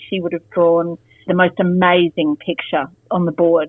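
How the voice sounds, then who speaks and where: A woman with an Australian accent, fairly low pitch, monotone, flat intonation, and a moderate pace. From Australia, Canberra. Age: 50s. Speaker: former teacher. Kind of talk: interview. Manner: hesitant, many fillers.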